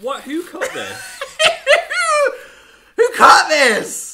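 A wheezy, put-on character voice at an extremely high pitch, very slow, with very wide pitch swings. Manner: wheezing, laughing.

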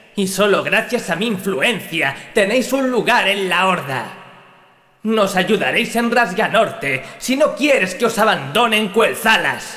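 A man with a high pitch uses a raised, projected voice, a menacing tone and lively intonation at a very slow pace. His loudness stays very even over noticeable background noise. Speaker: character voice performed by the narrator. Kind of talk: dramatic character dialogue. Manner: cold, menacing, harsh, contemptuous.

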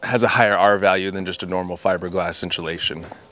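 Man with a bright, sharp tone in a dry sound with no echo. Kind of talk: casual vlog chat. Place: garden. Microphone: phone near.

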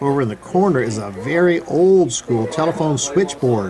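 Crowd noise sits in the background as a man speaks at a very slow pace. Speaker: narrator. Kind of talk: casual travel vlog narration. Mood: cheerful, playful. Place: home room. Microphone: phone near.

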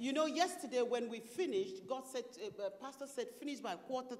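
The pace is moderate as a woman talks. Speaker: preacher. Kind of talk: sermon. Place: church. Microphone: handheld.

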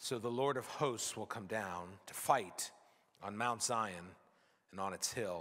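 The background is quiet. A man speaks at a fairly slow pace in a bright, sharp tone. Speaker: pastor. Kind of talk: scripture reading in sermon. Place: church. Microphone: podium.

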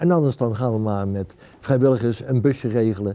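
A man talks at a fairly quick pace and medium pitch with ordinary pitch variation and a dark, mellow tone. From Netherlands, Utrecht; Netherlands. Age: 60s. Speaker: local politician. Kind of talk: campaign interview. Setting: library. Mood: calm, earnest. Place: hall.

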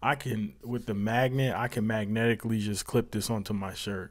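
Against a quiet background, a man speaks at a moderate pace with fairly even intonation. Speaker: tech youtuber. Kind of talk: casual product review chat. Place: home room. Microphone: lapel.

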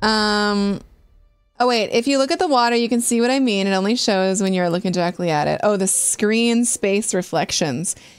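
A woman speaks at a moderate pace with very even loudness. Faint music plays in the background. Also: ordinary pitch variation. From Britain. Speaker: gaming streamer. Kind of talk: live game stream commentary. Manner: casual, chatty. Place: home room.

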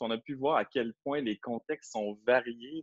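A Quebec accent against a quiet background. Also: man, dry sound with no echo. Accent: Québécois French. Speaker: educational consultant, former ethics teacher; teacher trainer presenting. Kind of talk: online training webinar. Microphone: video call.

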